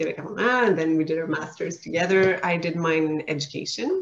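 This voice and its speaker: A woman's fairly low voice with a Quebec accent, fairly quick pace and ordinary pitch variation, over noticeable background noise. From Quebec, Laurentians. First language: French. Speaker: teacher, real estate investor. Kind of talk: podcast interview.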